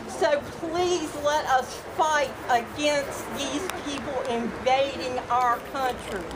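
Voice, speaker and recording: Amid noticeable background noise and audible room echo, a woman in a Southern US accent talks at a very slow pace and a high pitch with ordinary pitch variation and hardly any pauses. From US South (Virginia, South Carolina). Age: 60s. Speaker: rally speaker. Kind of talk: public speech. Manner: loud.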